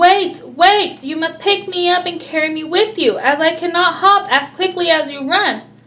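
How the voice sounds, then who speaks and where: A woman puts on a croaky character voice with an extremely high pitch. She speaks at a moderate pace. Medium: read story.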